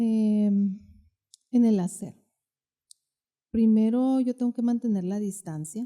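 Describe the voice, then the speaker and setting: A woman's dark, mellow tone, fairly high in pitch, with fairly even intonation. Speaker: therapist. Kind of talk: podcast interview.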